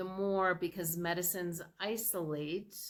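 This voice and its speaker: A woman with an unremarkable speaking voice talks at a fairly slow pace in a fairly low pitch. Her intonation is fairly even, on a very clean recording with a silent background. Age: 60s. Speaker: product presenter. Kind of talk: sales pitch. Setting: screen-shared slide presentation. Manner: casual, with filler words.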